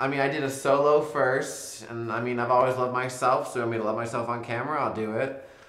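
Fairly even intonation is heard with audible room echo. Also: man. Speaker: interviewee. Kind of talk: interview answer. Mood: playful, laughing, relaxed. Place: home room.

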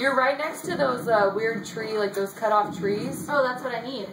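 A woman speaks over noticeable background noise. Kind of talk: casual chat, game commentary. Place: home room.

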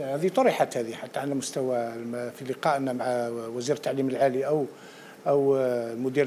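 A man talks at a moderate pace, with light background noise present. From Algeria. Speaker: panelist. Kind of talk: TV panel discussion. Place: studio. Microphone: lapel.

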